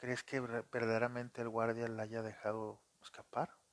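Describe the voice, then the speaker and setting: A man's voice with monotone, flat intonation. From Monterrey, Nuevo León, northern Mexico. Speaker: podcast storyteller and phone screen repairer. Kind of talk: casual storytelling. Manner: conversational, many fillers.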